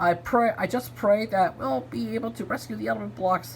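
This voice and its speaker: The speaker puts on a character voice. Clear background noise is present. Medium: read story.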